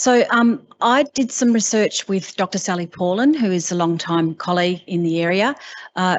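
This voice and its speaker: Her voice is fairly low for a woman, with ordinary pitch variation. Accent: Australian. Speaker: university researcher. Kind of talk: conference presentation. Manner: fast.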